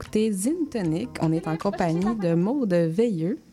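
Her tone is dark and mellow. The woman's pitch shows ordinary variation. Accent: Quebec. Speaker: community radio host. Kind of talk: radio interview.

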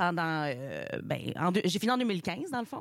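A woman with a slight Saguenay accent speaks at a very slow pace with lively intonation on a very clean recording with a silent background. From Montreal. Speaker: comedian, graduate. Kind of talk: radio interview. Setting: radio studio.

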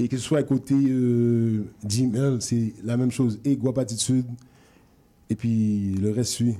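Speaking very slowly with long, frequent pauses, a man uses a dark, mellow tone at medium pitch, with fairly even intonation and very even loudness. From Quebec, Montreal (Rivière-des-Prairies). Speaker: rap label representative. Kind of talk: radio interview.

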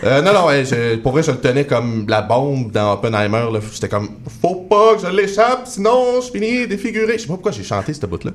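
A man's fairly high voice at a fairly quick pace, very wide pitch swings, and noticeable background noise. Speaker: comedy writer. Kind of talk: casual chat.

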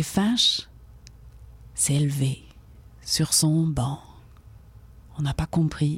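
Very slowly and with long, frequent pauses, a woman speaks at a very deep, low pitch, somewhat breathy, with ordinary pitch variation and very even loudness. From France, Brittany (rural Finistère). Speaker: storyteller and poet. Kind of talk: radio interview; storytelling.

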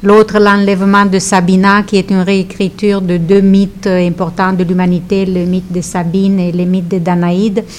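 A woman with a Romanian accent speaks at medium pitch in a monotone, flat delivery. Noticeable background noise runs behind her. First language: Romanian (speaking French). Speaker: author and teacher. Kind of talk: radio interview. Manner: halting.

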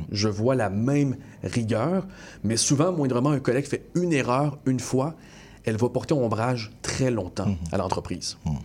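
A man's unremarkable speaking voice, medium in pitch, with lively intonation, very even loudness and a moderate pace. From Montreal, Quebec (Montréal-Nord). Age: 20s. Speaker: TV news anchor. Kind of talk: interview. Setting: studio.

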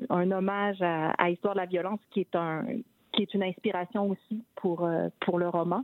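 Her voice is a plain, everyday voice at a medium pitch. The woman keeps her intonation fairly even. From Quebec City. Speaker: novelist. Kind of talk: interview. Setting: phone call.

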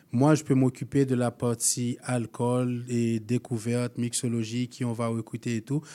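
In a very clean recording with a silent background, a man speaks at a fairly slow pace in a medium-pitched, dark, mellow voice with flat, monotone intonation. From Haiti. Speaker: spirits event organizer. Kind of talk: radio interview.

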